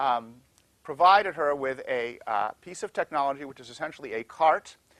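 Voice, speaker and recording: A man speaks at a fairly high pitch and a fairly quick pace, with lively intonation. The sound is dry and close, with no echo. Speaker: law professor. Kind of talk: lecture. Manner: fast.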